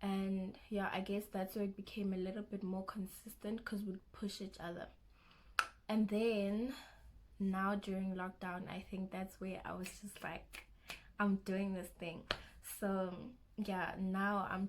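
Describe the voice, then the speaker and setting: A woman with a South African accent speaks at a fairly slow pace and a medium pitch, somewhat breathy, with monotone, flat intonation. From South Africa, Limpopo (Giyani). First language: Xitsonga. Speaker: YouTuber, university student. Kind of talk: casual vlog Q&A. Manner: halting, self-correcting.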